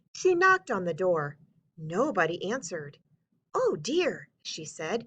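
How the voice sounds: The speaker reads in a natural reading voice, with a quiet background behind.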